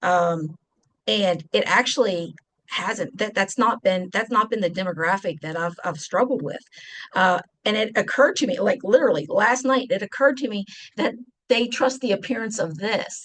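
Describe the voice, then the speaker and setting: Speaking with a strong West Virginia accent, a woman sounds animated, her pitch fairly high. She keeps a moderate pace with lively intonation. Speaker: deacon and presenter. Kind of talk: presentation.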